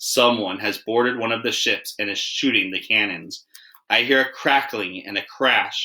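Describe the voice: A quiet background under plain reading aloud, with fairly even intonation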